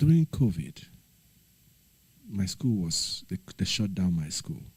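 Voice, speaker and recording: Fairly low and somewhat breathy, a man's voice moves at a fairly slow pace through very wide pitch swings. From Nigeria. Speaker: livestreamer, former teacher. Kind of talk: casual livestream chat.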